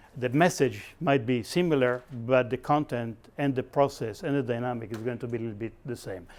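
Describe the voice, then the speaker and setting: Fairly quick speech from a man at a medium pitch, with ordinary pitch variation. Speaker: professor and workshop facilitator. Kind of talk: lecture. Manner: fast; animated.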